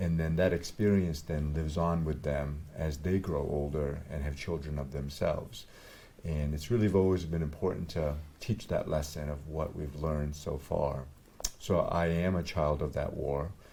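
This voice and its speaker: Moderate pace, a dark, mellow tone, fairly even intonation and audible echo from the room. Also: man, very deep, low pitch for a man. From Vietnam. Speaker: doctor. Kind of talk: interview.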